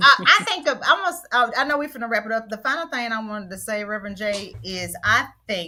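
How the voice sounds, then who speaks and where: Loud and lively in intonation, a woman speaks with a bright, sharp tone. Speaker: panelist. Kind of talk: casual chat. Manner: energetic.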